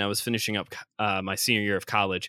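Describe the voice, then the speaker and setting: A man with a Chicago accent talks very fast in a bright, sharp tone, on a very clean recording with a silent background. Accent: Chicago-area American. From Northwest Indiana (Chicagoland). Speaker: traveling preacher and seminary student. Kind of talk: casual interview.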